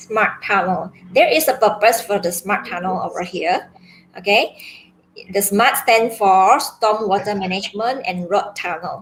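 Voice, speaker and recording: Speaking at a fairly slow pace, a woman uses a plain, everyday voice. Her medium pitch shows ordinary variation. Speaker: secondary school maths teacher. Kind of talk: online class lecture.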